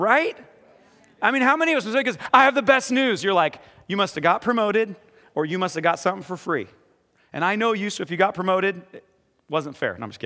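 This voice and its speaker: A man speaks at a very fast pace in a high pitch, with a bright, sharp yet warm tone. His voice is raised and projected, with big swings in loudness and long, frequent pauses. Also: lively intonation. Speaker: pastor. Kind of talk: sermon with interview. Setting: church with congregation. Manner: warm, humorous, informal.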